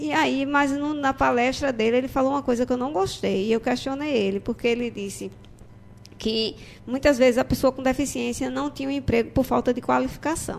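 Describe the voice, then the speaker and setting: At a fairly quick pace, a woman speaks with a high pitch and ordinary pitch variation. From Gravatá, Pernambuco. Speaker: court employee and braille teacher. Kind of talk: radio interview.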